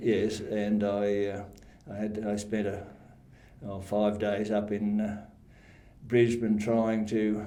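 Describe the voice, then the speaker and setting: A man with an Australian accent speaks very slowly in a fairly low, dark, mellow tone, with monotone, flat intonation. Long pauses come often. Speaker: retired council staff member. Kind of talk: interview answer. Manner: hesitant, halting.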